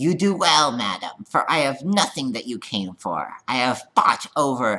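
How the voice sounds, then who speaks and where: Using a put-on character voice, a man speaks at a medium pitch and moderate pace with very wide pitch swings. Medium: read story. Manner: dry, sardonic.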